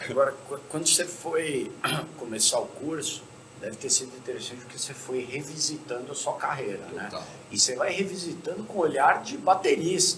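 A man's normal speaking voice, fairly high in pitch and fairly quick, with big swings in loudness over light background noise. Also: lively intonation. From Brazil. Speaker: podcast host. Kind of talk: casual chat. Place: stage.

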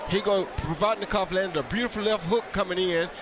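Music plays in the background behind a man. His tone is excited and animated, with ordinary pitch variation. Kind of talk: boxing commentary. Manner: animated, quick reactive calls; clipped, excited play-by-play.

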